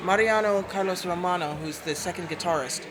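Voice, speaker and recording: A woman's fairly low, fairly even voice at a fairly quick pace, with noticeable background noise and audible room echo. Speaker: singer. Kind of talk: interview. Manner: loud.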